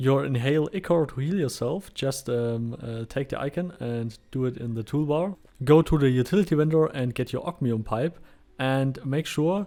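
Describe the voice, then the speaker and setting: With a German accent, a man talks at a moderate pace in a medium pitch with ordinary pitch variation and a dark, mellow tone, on a very clean recording with a silent background. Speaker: gaming YouTuber. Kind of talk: game tutorial. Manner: halting, many fillers.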